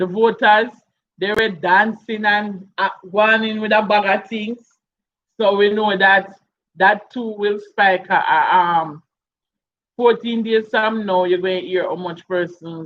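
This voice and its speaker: A woman with a Jamaican accent, medium-pitched, at a fairly slow pace with fairly even intonation and long, frequent pauses. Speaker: YouTube live streamer. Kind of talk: casual live stream chat.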